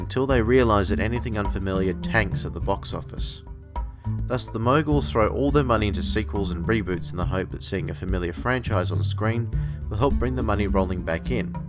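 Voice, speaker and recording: A man with an Australian accent, very deep and low in pitch, with very wide pitch swings, a fairly quick pace and music in the background. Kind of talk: opinion commentary to camera.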